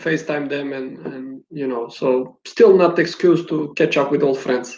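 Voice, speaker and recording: A man talks with a non-native accent. His pace is fairly slow. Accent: foreign. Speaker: basketball coach. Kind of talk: interview.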